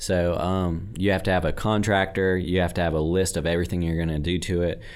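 At a very fast pace, a man with a very deep, low pitch talks amid audible room echo. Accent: American. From northwest Louisiana (Bossier). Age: 20s. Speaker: house flipper. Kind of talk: casual interview. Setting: studio. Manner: energetic.

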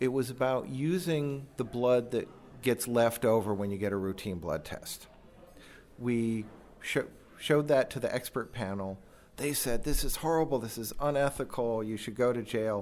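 At a moderate pace, a man talks in a plain, everyday voice of medium pitch with ordinary pitch variation. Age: 50s. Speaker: biomedical informatics professor. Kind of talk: interview.

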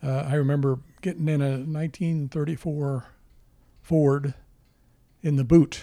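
In a very clean recording with a silent background, a man with an American accent speaks fairly slowly, his tone dark and mellow, his pitch fairly high and his intonation monotone and flat. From US Midwest. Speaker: grandfather and former soldier. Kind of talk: family interview. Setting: at home.

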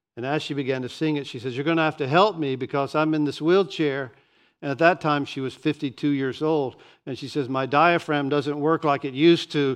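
A man with an American accent speaks at a moderate pace in an ordinary speaking voice, fairly high in pitch with ordinary pitch variation, over a quiet background. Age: 60s. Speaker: pastor. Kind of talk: sermon. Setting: church.

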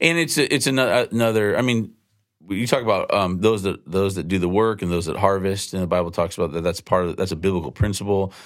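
On a very clean recording with a silent background, a man with a fairly low voice speaks at a very fast pace with ordinary pitch variation. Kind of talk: casual conversation on faith.

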